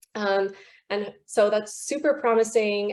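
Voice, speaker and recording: With an American accent, a woman speaks at a fairly slow pace in a medium pitch and a dark, mellow tone. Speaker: river conservation campaigner. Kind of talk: online panel talk. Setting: video call. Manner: animated.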